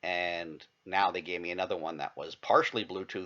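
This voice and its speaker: A man is speaking. His words come out as mumbling. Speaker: vlogger. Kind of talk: casual vlog monologue. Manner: halting, many false starts.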